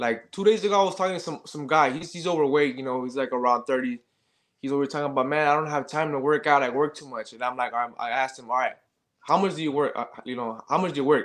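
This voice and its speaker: Against a quiet background, a man with an American accent speaks at a very fast pace and a fairly high pitch, with ordinary pitch variation. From Los Angeles. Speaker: fitness coach and soldier. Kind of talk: casual interview. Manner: halting, many fillers.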